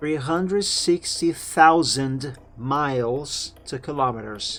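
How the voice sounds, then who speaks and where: Music plays in the background as a man talks at a very slow pace and a fairly high pitch, with ordinary pitch variation. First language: Portuguese. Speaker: game streamer. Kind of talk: casual gaming stream chat.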